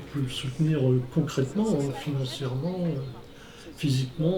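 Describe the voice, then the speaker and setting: A man talks with fairly even intonation amid audible room echo. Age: 60s. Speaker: organic fruit farmer. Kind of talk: testimony. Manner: halting, many hesitations.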